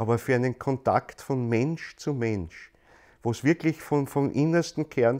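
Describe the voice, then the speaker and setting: Against a quiet background, a man with a Viennese accent speaks at a fairly slow pace with ordinary pitch variation, in a dry, close sound with no echo. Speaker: lecturer on anthroposophy, stage actor. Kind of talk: lecture. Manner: repetitive, halting restarts.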